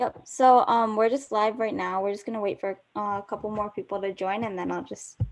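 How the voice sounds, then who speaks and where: A woman's normal speaking voice, fairly high in pitch, at a fairly quick pace with fairly even intonation and hardly any pauses. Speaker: student interviewer. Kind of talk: casual chat.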